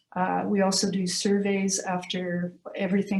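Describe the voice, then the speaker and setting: At a fairly slow pace, a woman talks in an ordinary speaking voice of medium pitch. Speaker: university career services staff presenter. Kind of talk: presentation at committee meeting.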